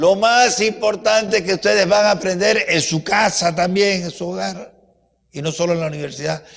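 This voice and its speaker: A man's high-pitched, animated voice with ordinary pitch variation. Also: moderate pace. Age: 80s+. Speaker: university professor giving a talk. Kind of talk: lecture.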